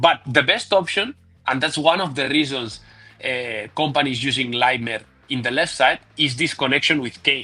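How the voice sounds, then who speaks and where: At a moderate pace, a man with a fairly high pitch and a bright, sharp tone speaks with ordinary pitch variation. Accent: non-native. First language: not English. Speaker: football tactics analyst. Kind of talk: tactical video analysis. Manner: halting, many fillers and repeats.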